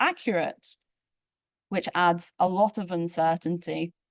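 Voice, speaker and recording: Over a quiet background, a woman with an unremarkable speaking voice talks at a fairly slow pace, her fairly low pitch carried with fairly even intonation. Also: dry, close sound with no echo. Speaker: space physicist, postdoctoral researcher. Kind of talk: invited tutorial talk. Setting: conference plenary with audience.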